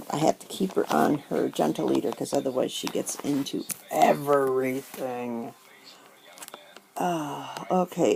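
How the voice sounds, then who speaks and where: Noticeable background noise fills the recording. Beneath it, a woman talks at a fairly slow pace. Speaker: paper crafter, stamp collector. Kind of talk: casual talk to camera.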